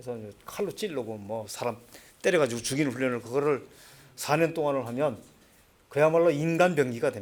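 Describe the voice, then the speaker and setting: Using a medium pitch and lively intonation, a man talks at a fairly quick pace, his loudness swinging widely between long, frequent pauses. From North Korea, Hwanghae Province. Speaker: former North Korean agent, North Korea studies lecturer. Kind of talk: lecture.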